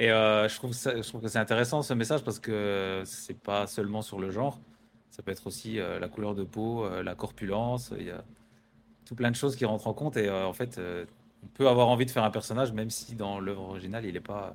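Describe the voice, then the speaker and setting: An ordinary speaking voice from a man, fairly low in pitch, with fairly even intonation at a fairly quick pace. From rural France. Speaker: podcast host, photographer. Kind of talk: casual interview. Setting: filmed interview setup. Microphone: own voice slightly quieter than the guest's.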